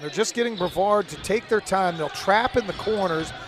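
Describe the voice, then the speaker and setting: Over noticeable background noise, a man talks with a high pitch. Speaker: play-by-play commentator. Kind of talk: live commentary. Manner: animated.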